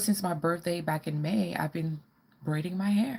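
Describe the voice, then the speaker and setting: A woman's somewhat breathy, fairly low voice with ordinary pitch variation. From Caribbean, moved to US as a child. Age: 40s. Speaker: fashion and lifestyle vlogger. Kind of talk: live-stream Q&A chat. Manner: casual, hesitant with fillers.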